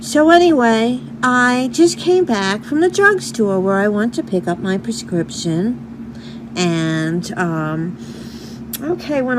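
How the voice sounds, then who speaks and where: With a New York accent, a woman speaks at a very slow pace and a medium pitch. Her pitch swings very widely over noticeable background noise. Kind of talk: casual talk to camera.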